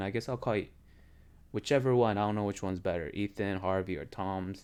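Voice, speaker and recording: A fairly low-pitched man at a fairly quick pace, with ordinary pitch variation. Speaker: game streamer. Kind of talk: casual live stream chat. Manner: halting, many fillers. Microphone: quiet mic, picks up keyboard clicks.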